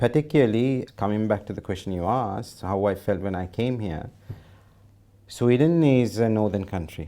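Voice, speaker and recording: A man's fairly low, dark, mellow voice at a moderate pace, with ordinary pitch variation. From Sri Lanka (Kandy). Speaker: doctor and cricket association president. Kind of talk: interview. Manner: halting.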